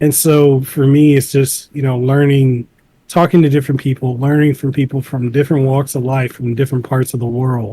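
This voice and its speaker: At a fairly quick pace, a man talks in a medium pitch with a dark, mellow tone and monotone, flat intonation. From Samoa. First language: Samoan. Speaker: content creator and podcaster. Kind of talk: interview.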